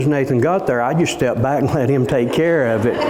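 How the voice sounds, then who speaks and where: Noticeable background noise and audible room echo fill the recording. A man talks at a fairly quick pace with lively intonation. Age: 60s. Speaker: pastor. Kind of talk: sermon. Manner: halting.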